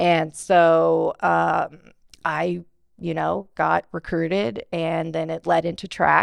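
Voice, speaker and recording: Very slowly, a woman with an American accent speaks against a quiet background, the sound dry and close with no echo. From Bakersfield, California. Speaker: digital marketing agency owner. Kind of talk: interview.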